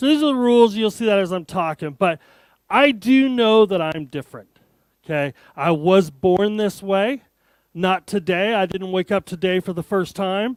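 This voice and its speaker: A man speaks with an American accent in an animated tone and lively intonation. His pace is moderate, and the sound is dry and close with no echo. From Arizona, US. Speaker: tech conference speaker. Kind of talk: keynote talk. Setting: stage with audience.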